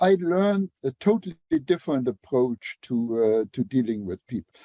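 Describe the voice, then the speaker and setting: With a Luxembourgish accent, a man speaks in a dark, mellow tone, his pitch swinging very widely. The recording sounds dry and close, with no echo. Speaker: engineer and author. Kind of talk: podcast interview. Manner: halting, many fillers.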